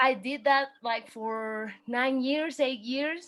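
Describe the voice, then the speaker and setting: A woman with a Spanish accent speaks at a very slow pace. Her pitch is high and her intonation fairly even. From Mexico City. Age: 20s. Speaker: dancer and fashion designer. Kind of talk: interview. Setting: video call.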